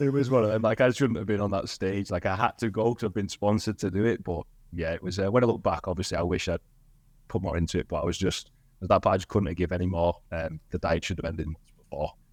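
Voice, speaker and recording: A man talks at a very fast pace with a Cumbrian accent. His pitch is very deep and low. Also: ordinary pitch variation, very clean recording, silent background. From northern England, Cumbria (Barrow-in-Furness). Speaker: gym owner and fitness coach. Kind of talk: podcast interview.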